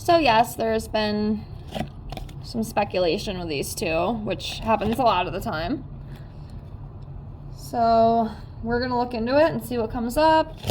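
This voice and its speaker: Against noticeable background noise, a woman with a fairly high pitch and lively intonation speaks at a fairly slow pace with long, frequent pauses. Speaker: tarot reader. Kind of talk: tarot reading video. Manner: casual, filler-heavy.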